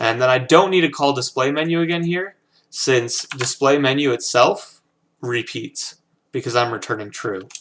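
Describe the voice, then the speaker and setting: A man at a fairly slow pace with ordinary pitch variation, in a very clean recording against a silent background. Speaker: programming instructor. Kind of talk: tutorial. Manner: halting, many fillers.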